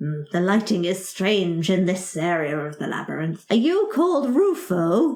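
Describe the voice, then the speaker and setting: This is a put-on character voice at a moderate pace. It runs on with hardly any pauses. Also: female-sounding voice, medium pitch for a woman. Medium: actual play. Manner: blustering, officious, easily flustered.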